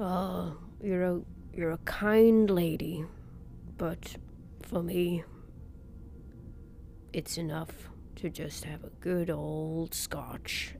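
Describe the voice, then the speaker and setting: Over clear background noise, a woman puts on a gruff character voice with a nervous tone, speaking at a very slow pace. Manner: nervous, condescending, gruff.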